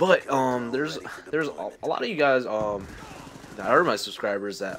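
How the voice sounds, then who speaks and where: Noticeable background noise runs under this clip. A man speaks with ordinary pitch variation. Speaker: gaming YouTuber. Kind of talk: casual rant over gameplay. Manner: halting, many fillers and restarts.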